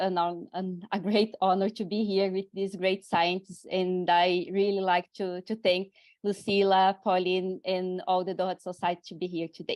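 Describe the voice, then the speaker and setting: A woman speaks with a Brazilian accent at a medium pitch. Her intonation stays monotone and flat. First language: Portuguese. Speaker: university researcher. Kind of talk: panel discussion.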